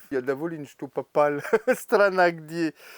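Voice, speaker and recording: A man with a French accent at a very slow pace, in a very clean recording with a silent background and a dry, close sound with no echo. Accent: French accent in Russian. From France. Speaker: bathhouse steam master. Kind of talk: interview answer.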